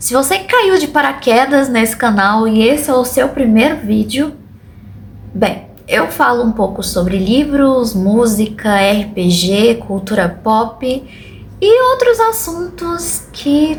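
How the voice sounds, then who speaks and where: A woman speaks very slowly in a fairly high pitch, her voice swinging very widely in pitch. Noticeable background noise can be heard. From Brazil, Goiânia (Goiás). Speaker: booktuber. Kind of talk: casual vlog monologue.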